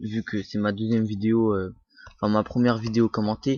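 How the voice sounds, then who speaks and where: This man talks at a moderate pace. His pitch is fairly low. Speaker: YouTuber. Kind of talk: tutorial. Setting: screen recording at computer. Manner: halting, many filler sounds.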